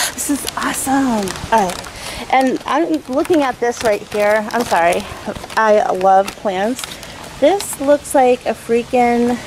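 A woman speaks in a high voice at a very slow pace. Noticeable noise sits in the background. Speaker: vlogger. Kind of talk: casual vlog chat. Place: open country. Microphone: phone near.

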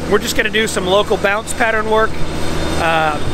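A man's raised, projected voice at a very fast pace, with ordinary pitch variation, a dry sound with no echo and noticeable background noise. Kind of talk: casual vlog explanation. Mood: upbeat, enthusiastic. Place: street. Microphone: phone near.

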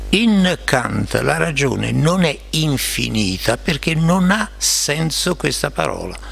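A man talks at a very slow pace, with hardly any pauses and very even loudness. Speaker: philosopher; panelist. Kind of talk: academic discussion. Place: meeting room. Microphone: podium.

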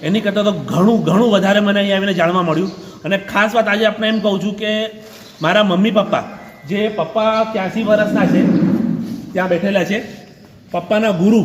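Audible room echo and noticeable background noise accompany a man speaking in a monotone, flat intonation at a high pitch. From Mumbai, India. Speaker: son-in-law visiting wife's hometown. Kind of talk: on-camera interview.

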